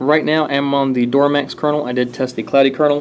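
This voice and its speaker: Noticeable background noise accompanies a man talking. His pace is fairly quick, with ordinary pitch variation. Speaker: tech reviewer. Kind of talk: tutorial. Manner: fast; casual with fillers.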